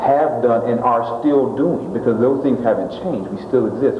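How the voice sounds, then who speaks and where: Male voice over noticeable background noise. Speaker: interviewee. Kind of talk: interview answer.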